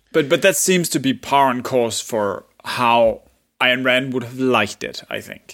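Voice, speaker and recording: A man with a Danish accent at a fairly slow pace, with big swings in loudness. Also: medium pitch for a man, ordinary pitch variation. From Denmark. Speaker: podcast co-host. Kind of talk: casual chat.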